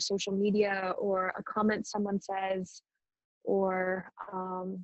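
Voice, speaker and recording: A woman's calm tone at a medium pitch. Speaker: meditation teacher. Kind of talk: guided meditation talk. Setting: video call. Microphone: choppy connection.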